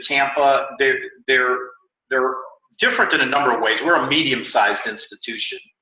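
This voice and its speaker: This is a man's voice. He speaks in a Chicago accent. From US Midwest, Chicago. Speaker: university admissions director. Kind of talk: interview. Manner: hesitant, many fillers.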